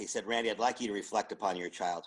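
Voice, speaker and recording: This is a man speaking. His pitch sits fairly low. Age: 60s. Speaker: business presenter. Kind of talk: sales pitch.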